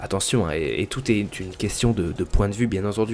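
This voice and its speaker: With ordinary pitch variation and a fairly low pitch, a man speaks at a very fast pace. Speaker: gaming YouTuber. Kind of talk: solo podcast monologue. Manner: hesitant, many fillers.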